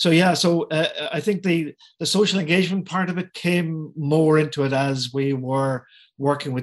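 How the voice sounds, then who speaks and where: A man with a Cork accent. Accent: Cork Irish. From Ireland. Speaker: artist. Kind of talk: casual interview.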